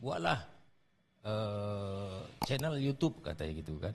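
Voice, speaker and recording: A man speaks at a fairly slow pace with a fairly low pitch. His voice is somewhat breathy. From North Sumatra, Serdang Bedagai (Malay-Javanese family). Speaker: radio announcer and comedy content creator. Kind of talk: casual interview.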